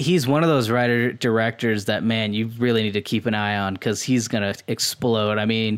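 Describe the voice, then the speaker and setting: A plain, everyday voice moves at a fairly quick pace with hardly any pauses and fairly even intonation. The recording is very clean, with a silent background. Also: man, medium pitch for a man. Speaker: podcast host. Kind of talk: casual chat.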